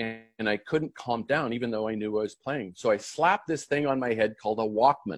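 Using a normal speaking voice, a man talks at a fairly quick pace with hardly any pauses, his pitch medium and its variation ordinary. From Canada. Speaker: professional golfer. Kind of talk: interview.

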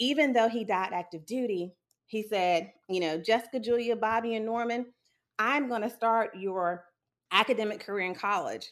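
Over a silent background in a very clean recording, a woman with an American accent uses a normal speaking voice at a fairly high pitch, a moderate pace, and ordinary pitch variation. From South Carolina (Sumter). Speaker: psychologist. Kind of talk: interview.

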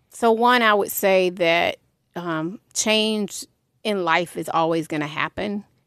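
The sound is dry and close, with no echo. The speech moves at a very slow pace with ordinary pitch variation. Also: woman, very clean recording, silent background. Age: 50s. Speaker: music industry executive and mental health advocate. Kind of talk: interview.

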